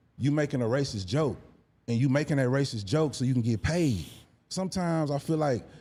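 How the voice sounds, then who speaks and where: Speaking with an American accent, a man uses a dark, mellow tone at medium pitch, with lively intonation and a fairly quick pace, on a very clean recording with a silent background. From Houston, Texas. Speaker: hip-hop artist and content creator. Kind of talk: casual podcast interview. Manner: animated.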